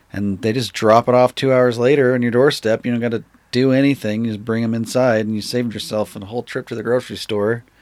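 A man with an American accent at a medium pitch, very fast, monotone and flat, with hardly any pauses, on a very clean recording with a silent background. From Utah. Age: 30s. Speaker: skateboard maker. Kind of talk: casual chat.

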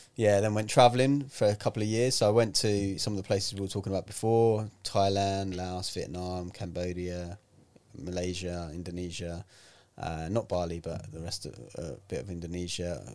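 A man's very deep, low voice in a London accent, at a moderate pace with big swings in loudness, on a very clean recording with a silent background. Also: ordinary pitch variation. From North London, England. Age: 40s. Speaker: health and fitness author and speaker. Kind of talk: casual chat. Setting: studio.

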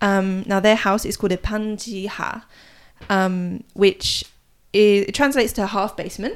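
A woman speaks with an English accent, leaving long, frequent pauses. The recording is very clean, with a silent background. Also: medium pitch for a woman, fairly even intonation, moderate pace. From England. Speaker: podcast co-host, Korea blogger. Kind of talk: casual chat.

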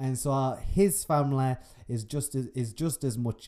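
This man speaks at a moderate pace with a Yorkshire accent and a dark, mellow tone. The recording is very clean, with a silent background. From northern England. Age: 20s. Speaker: podcaster. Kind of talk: solo casual monologue. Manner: casual, laughing often.

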